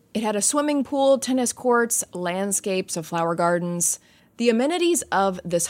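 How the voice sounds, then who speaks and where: On a very clean recording with a silent background, a woman speaks at a moderate pace with lively intonation in an ordinary speaking voice. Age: 30s. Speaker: podcast host. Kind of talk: casual listener Q&A; storytelling narration.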